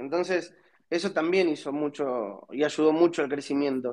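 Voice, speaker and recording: This is a man speaking. His pace is moderate. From Argentina. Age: 30s. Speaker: startup founder. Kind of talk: interview.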